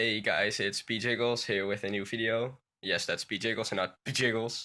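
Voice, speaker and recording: A man in monotone, flat intonation, in a very clean recording with a silent background. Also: medium pitch for a man, moderate pace. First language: Dutch. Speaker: gaming YouTuber. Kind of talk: tutorial. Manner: halting.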